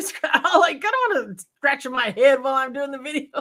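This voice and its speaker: Using a raised, projected voice, a woman talks at a fairly quick pace with a high pitch and a bright, sharp tone. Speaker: YouTuber. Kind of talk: casual chat. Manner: loud.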